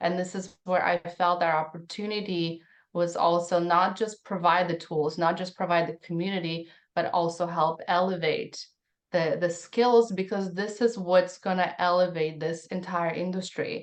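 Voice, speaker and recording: A woman with a Russian accent talks at a moderate pace in a fairly low voice with monotone, flat intonation. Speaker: tech founder. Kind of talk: podcast interview. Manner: halting.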